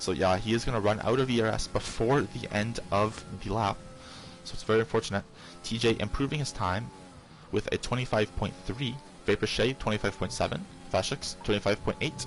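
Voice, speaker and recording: A soft-spoken man, fairly low in pitch with ordinary pitch variation, at a fairly quick pace over music in the background. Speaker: sim racing league commentator. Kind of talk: live commentary. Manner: hesitant, many fillers.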